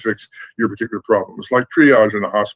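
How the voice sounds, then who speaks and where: A man at a very fast pace, in a dry, close sound with no echo. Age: 70s. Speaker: Ifa priest. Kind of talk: online interview, teaching talk. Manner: conversational with fillers.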